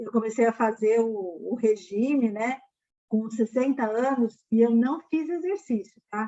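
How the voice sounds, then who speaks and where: This woman has an unremarkable speaking voice at a fairly high pitch. She talks at a fairly slow pace with ordinary pitch variation. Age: 60s. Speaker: financial education mentor. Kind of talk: live stream Q&A. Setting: online live stream. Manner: casual, filler-heavy.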